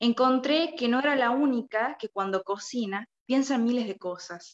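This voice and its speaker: The speaker talks at a very slow pace. Pitch moves in an ordinary way. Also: woman. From Argentina, La Rioja. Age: 20s. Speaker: young writer. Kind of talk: reading aloud prepared review.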